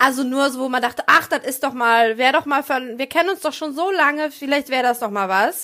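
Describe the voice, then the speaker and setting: A woman's high, bright, sharp voice, raised and projected, at a fairly quick pace with hardly any pauses and ordinary pitch variation. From rural Germany. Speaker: stand-up comedian and podcast co-host. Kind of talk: casual chat. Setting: video call.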